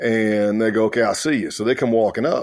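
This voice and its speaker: A man with a rural Southern US accent speaks at a fairly quick pace and a fairly low pitch in a very clean recording with a silent background. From South Carolina. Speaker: former undercover law enforcement officer. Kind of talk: interview storytelling. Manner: animated.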